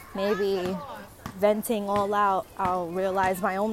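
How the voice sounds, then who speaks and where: Noticeable background noise runs under this recording. The woman's voice sits at a medium pitch. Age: 20s. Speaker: podcaster. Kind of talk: personal audio diary. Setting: outdoors in a park. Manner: halting.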